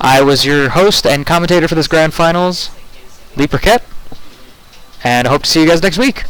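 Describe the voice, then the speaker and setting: Through noticeable background noise, a man with a fairly high pitch talks at a fairly quick pace, broken by long, frequent pauses. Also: ordinary pitch variation, very even loudness. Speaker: esports commentator. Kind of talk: live commentary. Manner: stutter; animated.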